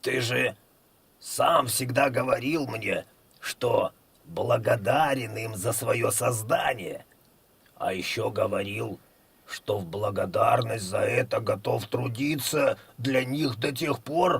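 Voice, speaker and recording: A man's put-on character voice, hoarse and medium-pitched, at a fairly slow pace with long, frequent pauses. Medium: read story. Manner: calm, reasonable.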